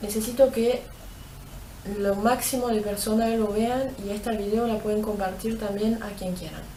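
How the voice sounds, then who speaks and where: A woman speaks in a monotone, flat intonation. Noticeable background noise and audible room echo fill the recording. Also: fairly high pitch for a woman, moderate pace. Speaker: abuse survivor. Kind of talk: testimony. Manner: halting.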